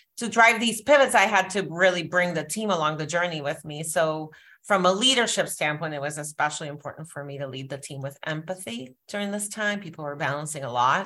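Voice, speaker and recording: A woman speaks at a moderate pace with a very deep, low pitch, lively intonation and a bright, sharp tone, her loudness swinging a lot on a very clean recording with a silent background. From Puerto Rico. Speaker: beauty executive. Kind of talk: interview.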